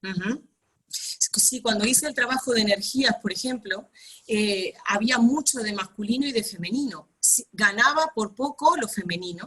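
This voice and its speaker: A woman speaks with a fairly high pitch and a bright, sharp tone. Her pace is fairly slow, and her pitch varies in an ordinary way. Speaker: workshop participant. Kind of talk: group coaching session.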